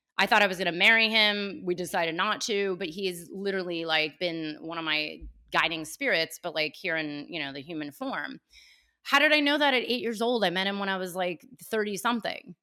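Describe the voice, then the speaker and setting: Speaking with a West Coast American accent, a woman uses a bright, sharp tone at medium pitch, moving at a fairly quick pace with lively intonation. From California, Bay Area (Cupertino). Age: 40s. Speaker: podcaster and coach. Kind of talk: casual interview chat. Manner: animated.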